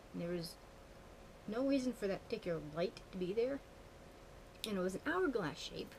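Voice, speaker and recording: Talking at a fairly quick pace with long, frequent pauses, a woman of medium pitch uses lively intonation. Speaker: witchcraft vlogger. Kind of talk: casual vlog monologue. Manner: fast; animated.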